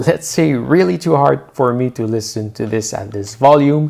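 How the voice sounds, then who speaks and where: A man with a French Canadian accent, medium pitch and very wide pitch swings at a fairly slow pace. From Quebec. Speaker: tech reviewer. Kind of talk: product review tutorial.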